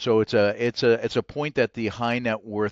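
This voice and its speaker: With a Maritime Canadian accent, a man speaks at a fairly low pitch and a moderate pace, with ordinary pitch variation, a dry, close sound with no echo and a quiet background. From Nova Scotia, Canada. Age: 60s. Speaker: financial advisor, company CEO. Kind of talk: podcast interview.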